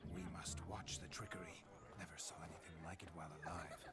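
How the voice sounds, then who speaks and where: Loud background noise sits behind a man speaking at a fairly quick pace. His put-on character voice has a very deep, low pitch. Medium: video game. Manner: haughty, mocking, theatrical.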